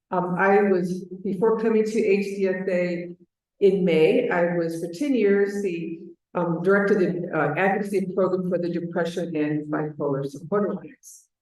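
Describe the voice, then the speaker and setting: Amid audible room echo, a woman talks at a moderate pace with a medium pitch and fairly even intonation. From Chicago, US Midwest. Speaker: advocacy manager at a patient organization. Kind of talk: conference presentation.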